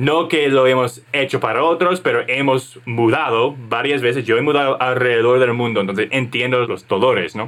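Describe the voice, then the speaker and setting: A man with an English accent, medium pitch and ordinary pitch variation, at a moderate pace with hardly any pauses. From United States. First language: English (speaking Spanish). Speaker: podcast co-host, entrepreneur. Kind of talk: casual business chat.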